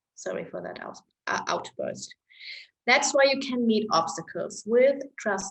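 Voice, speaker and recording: A woman with a German accent speaks at a moderate pace. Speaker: astrology-style chart reader. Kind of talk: reading a personal chart to camera.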